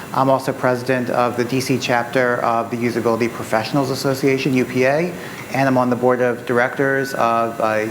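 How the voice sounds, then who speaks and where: Fairly quick, monotone delivery with flat intonation and very even loudness, plus audible room echo and noticeable background noise. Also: man. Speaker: usability consultant. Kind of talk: panel self-introduction. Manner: quiet. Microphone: too quiet, mic adjusted.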